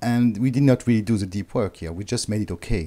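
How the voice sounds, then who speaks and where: This man's voice has a dark, mellow tone. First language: not English. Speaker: author and inspirational speaker. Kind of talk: interview. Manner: halting.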